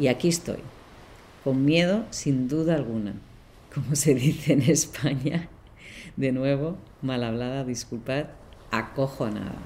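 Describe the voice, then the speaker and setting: Her very deep, low voice has a dark, mellow tone and ordinary pitch variation. This woman speaks at a fairly slow pace, with long, frequent pauses. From Barcelona, Spain. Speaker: podcast host and leadership coach. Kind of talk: solo podcast monologue.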